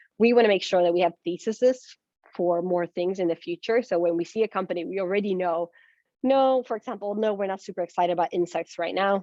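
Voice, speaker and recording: A woman talks very fast at a medium pitch, and her pitch varies in an ordinary way. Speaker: venture capital investor. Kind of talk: presentation.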